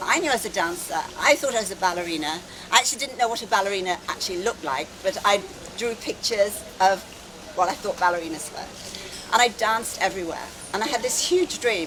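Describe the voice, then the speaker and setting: A woman in an English accent at medium pitch, very fast pace and lively intonation, with noticeable background noise. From England, London. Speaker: wellness speaker. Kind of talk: conference talk. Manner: animated.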